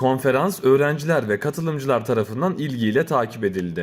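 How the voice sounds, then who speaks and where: A man with a plain, everyday voice, medium pitch, lively intonation and a fairly quick pace. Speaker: news reporter / news voice-over. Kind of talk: news bulletin narration.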